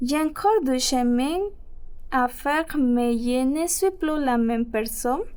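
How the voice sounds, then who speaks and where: A woman's high pitch with a dark, mellow tone. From Ecuador. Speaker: French-learning immigrant storyteller. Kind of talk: reading aloud personal story.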